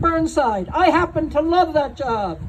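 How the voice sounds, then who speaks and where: A woman's extremely high voice at a moderate pace, over noticeable background noise. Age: 70s. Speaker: nurse. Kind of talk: speech at a protest rally. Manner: conversational, digressive.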